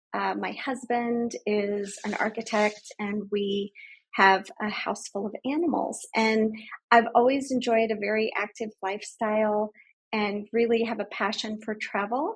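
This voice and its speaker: Somewhat breathy and fairly high-pitched, a woman speaks at a fairly slow pace in a monotone, flat intonation. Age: 50s. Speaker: medical professional sharing patient story. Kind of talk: testimony interview.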